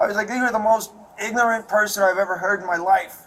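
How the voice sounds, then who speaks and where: Talking at a very fast pace with ordinary pitch variation, a man with a Chicago accent is heard over noticeable background noise. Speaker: assault victim speaking to police. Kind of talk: casual talk with police after incident. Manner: agitated.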